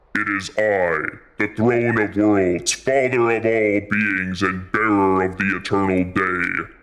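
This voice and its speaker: A man speaks in a put-on character voice, fairly low and resonant. His pace is fairly slow, and the recording is very clean with a silent background. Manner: solemn, reassuring.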